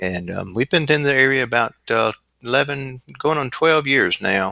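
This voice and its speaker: With a Southern US accent, a man speaks at a moderate pace and medium pitch, his intonation lively and his tone bright and sharp, in a dry, close sound with no echo. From US Gulf Coast, southern Alabama. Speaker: chiropractor and sport shooter. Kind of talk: podcast interview. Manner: hesitant, many fillers.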